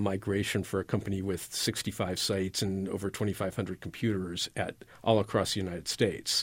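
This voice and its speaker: An ordinary speaking voice from a man, fairly low in pitch, at a moderate pace on a very clean recording with a silent background. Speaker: college professor, IT department chair. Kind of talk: interview. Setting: studio.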